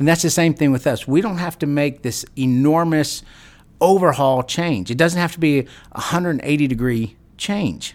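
At a moderate pace, a man speaks in a fairly high pitch. His pitch variation is ordinary. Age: 40s. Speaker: wellness podcast host. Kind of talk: solo podcast talk. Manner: halting, many fillers and repeats.

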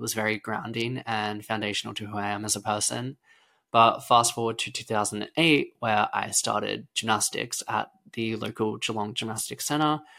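A man with an Australian accent speaks at a moderate pace and medium pitch, his bright, sharp tone carrying fairly even intonation on a very clean recording with a silent background. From Australia, rural Victoria. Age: 20s. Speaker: gymnast and podcast host. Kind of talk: casual solo podcast monologue.

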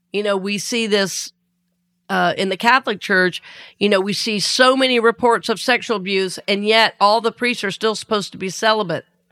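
On a very clean recording with a silent background, a woman speaks at a moderate pace in a medium pitch, her tone warm yet bright and sharp, with fairly even intonation. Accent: Southern US. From US South. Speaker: minister and podcast host. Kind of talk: spiritual talk podcast. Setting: studio. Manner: warm, conversational, laughs often.

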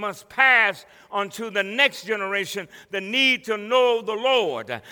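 Projected and raised, this man's high-pitched voice has a bright, sharp, animated tone and ordinary pitch variation. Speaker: pastor. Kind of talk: sermon. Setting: church with congregation. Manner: animated, call-and-response preaching; fervent, exhorting the congregation.

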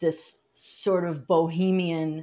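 In a very clean recording with a silent background, a woman speaks in a very deep, low pitch with a dark, mellow tone. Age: 30s. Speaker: marketing professional and fine artist. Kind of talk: casual interview.

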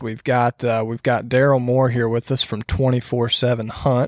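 At a moderate pace, a man speaks at a medium pitch with little pitch movement and a slightly mellow tone.

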